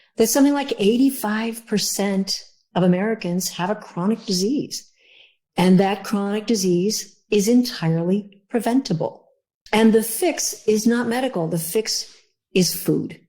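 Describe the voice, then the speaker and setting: The voice has a dark, mellow tone and is somewhat breathy. It moves at a fairly slow pace with ordinary pitch variation. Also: woman, fairly high pitch for a woman. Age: 70s. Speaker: cookbook author. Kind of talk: podcast interview.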